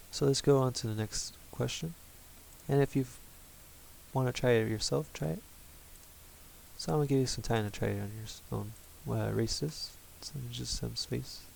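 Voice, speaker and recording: A man talks at a moderate pace with long, frequent pauses. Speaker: math teacher. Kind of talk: lecture.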